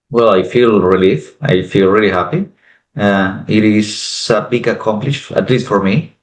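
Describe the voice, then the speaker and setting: With ordinary pitch variation and a fairly low pitch, a man talks at a moderate pace. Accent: Spanish. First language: Spanish. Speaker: French exam candidate. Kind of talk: interview.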